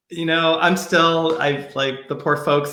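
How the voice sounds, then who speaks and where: With noticeable background noise behind him, a man speaks with an American accent. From New York. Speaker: pediatrician. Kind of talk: casual chat. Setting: livestream video call. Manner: fast.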